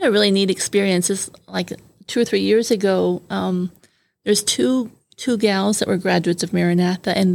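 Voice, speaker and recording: Talking at a fairly quick pace, a woman with an American accent has an unremarkable speaking voice at medium pitch with fairly even intonation. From Brazil, raised by American missionary parents. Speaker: missionary. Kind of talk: interview. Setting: studio.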